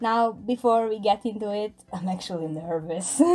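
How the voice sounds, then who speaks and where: A woman's fairly slow speech in a non-native accent, with music in the background. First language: not English. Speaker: content creator. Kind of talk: casual chat.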